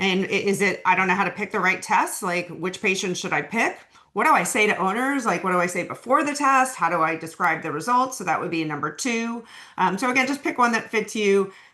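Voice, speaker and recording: In a room with audible echo, a woman with a medium pitch talks at a fairly quick pace in a bright, sharp tone with lively intonation. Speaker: veterinary oncologist. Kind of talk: webinar lecture. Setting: online webinar. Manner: fast; casual, many fillers.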